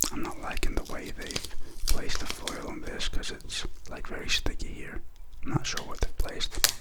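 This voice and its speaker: A man whispers at a fairly quick pace. There is noticeable noise in the background. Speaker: wine ASMR content creator. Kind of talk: casual talk to camera, wine review. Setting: quarantine period, home recording. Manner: relaxed, casual, conversational.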